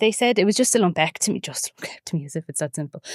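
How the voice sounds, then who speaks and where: With an Irish accent and lively intonation, a woman speaks in a dry, close sound with no echo on a very clean recording with a silent background. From Ireland, County Wicklow. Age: 30s. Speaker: breast cancer survivor. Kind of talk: podcast interview answer.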